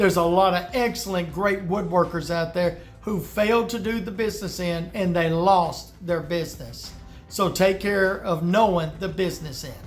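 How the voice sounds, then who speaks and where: Over music in the background, a man with a Deep South accent speaks at a moderate pace with fairly even intonation. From US South. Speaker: woodworker giving business advice. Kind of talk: tutorial. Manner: casual, conversational.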